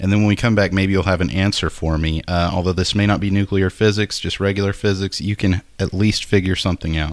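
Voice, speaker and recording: At a fairly quick pace, a man with an American accent talks in a fairly low pitch and fairly even intonation, with an ordinary speaking voice. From Nacogdoches, Texas. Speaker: podcast co-host. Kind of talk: casual comedic chat.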